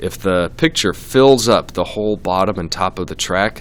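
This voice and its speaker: Fairly low-pitched speech from a man, moderately paced, with ordinary pitch variation. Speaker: teacher. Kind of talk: tutorial.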